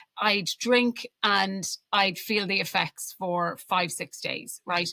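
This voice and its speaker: A woman speaks at a medium pitch with a bright, sharp tone. Her intonation is fairly even, and the sound is dry and close with no echo. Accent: Irish. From Ireland. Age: 40s. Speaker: alcohol-free coach. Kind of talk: podcast interview.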